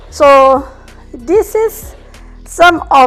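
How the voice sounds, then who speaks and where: With music playing behind her, a woman speaks with very wide pitch swings. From Indonesia. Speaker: home cook. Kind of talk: casual cooking video talk.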